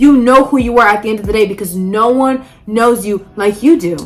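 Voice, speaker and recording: Music plays in the background as a woman speaks at a moderate pace. Her pitch is high, with ordinary variation. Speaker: podcast host. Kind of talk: casual vlog talk. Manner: animated; loud.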